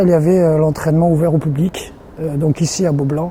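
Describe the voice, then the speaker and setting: Background noise is noticeable. The pace is moderate. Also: man. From France, Limoges. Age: 30s. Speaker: sports team equipment and logistics manager. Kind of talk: interview. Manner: halting, many fillers and repetitions.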